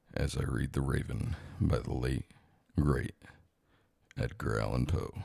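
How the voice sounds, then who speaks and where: At a fairly slow pace, a man speaks in a very deep, low pitch with vocal fry, a dark, mellow tone and ordinary pitch variation. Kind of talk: podcast-style intro to listeners. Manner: slow, relaxing.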